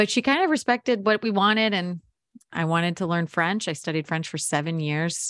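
An ordinary speaking voice from a woman with a General American accent, fairly low in pitch with ordinary variation, on a very clean recording with a silent background and a dry, close sound with no echo. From US Mid-Atlantic. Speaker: podcast producer and audio storyteller. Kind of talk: interview.

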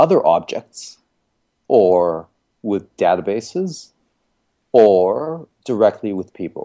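Speaking very slowly, a man with a fairly low pitch and a dark, mellow tone uses lively intonation. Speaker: connected health entrepreneur. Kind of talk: podcast interview.

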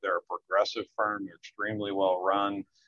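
A man with a normal speaking voice and fairly low pitch talks at a moderate pace. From US Northeast, Philadelphia area. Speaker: accounting firm executive. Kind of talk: business interview.

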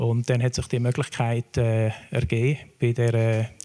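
A man with a dark, mellow tone speaks at a medium pitch and a fairly slow pace. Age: 60s. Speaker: foundation board chair. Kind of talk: panel discussion.

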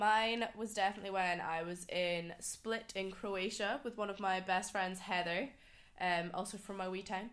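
With a Scottish Highland accent, a woman talks at a moderate pace with fairly even intonation. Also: medium pitch for a woman. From Scottish Highlands. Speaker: podcast guest. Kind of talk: casual chat.

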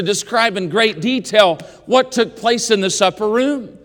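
A man with an American accent talks at an extremely high pitch with ordinary pitch variation. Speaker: preacher. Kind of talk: sermon in chapel. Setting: college chapel with a student audience. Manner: earnest, pulpit-style exhortation with a warm, rising, call-and-response delivery.

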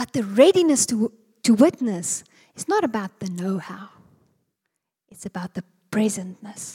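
A woman's fairly high, somewhat breathy voice with a dark, mellow tone, lively intonation, big swings in loudness and long, frequent pauses, in a dry, close sound with no echo. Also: moderate pace. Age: 40s. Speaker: preacher. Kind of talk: sermon.

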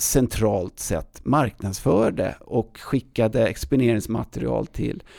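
A man's dark, mellow voice with vocal fry, a strong Stockholm accent, ordinary pitch variation and a very slow pace. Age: 50s. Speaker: outdoor event organizer. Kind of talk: casual interview.

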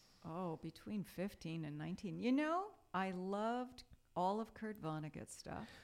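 A woman with an American accent and a normal speaking voice talks at a fairly slow pace and medium pitch with lively intonation. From New York, Brooklyn and Long Island. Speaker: English professor. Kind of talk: casual interview.

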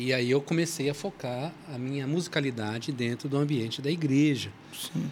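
This man has a plain, everyday voice, fairly high in pitch, with ordinary pitch variation and a moderate pace. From São Paulo, Brazil. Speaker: church musician and author. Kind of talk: casual chat.

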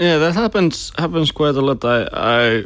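Recorded very cleanly with a silent background, the speaker talks with a Finnish accent at a moderate pace and ordinary pitch variation. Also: man. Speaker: podcast host. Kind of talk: interview.

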